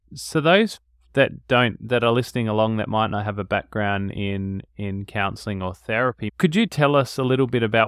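In an Australian accent, a man speaks at a medium pitch. His pitch variation is ordinary. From Australia, Adelaide. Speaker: podcast host, couples therapist. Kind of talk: interview. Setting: in-person studio.

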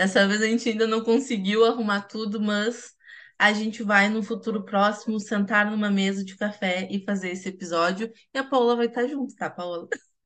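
Over a quiet background, a woman speaks at a moderate pace with fairly level intonation. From Rio Grande, Rio Grande do Sul, Brazil. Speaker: podcast host, journalist. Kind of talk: casual chat.

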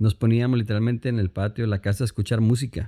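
A man's dark, mellow voice in a dry, close sound with no echo, on a very clean recording with a silent background. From Colombia, Cali. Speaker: pianist, producer and pastor. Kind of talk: casual interview.

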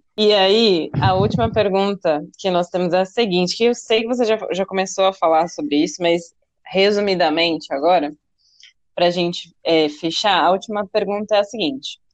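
A woman with an ordinary speaking voice. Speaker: podcast host, dance teacher. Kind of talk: casual interview.

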